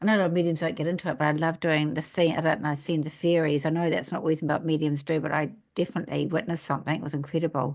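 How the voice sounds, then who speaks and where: A woman with a New Zealand accent talks at a very deep, low pitch and a very fast pace. She leaves hardly any pauses, and the background is quiet. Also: fairly even intonation. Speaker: podcast host and psychic medium. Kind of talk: casual interview chat.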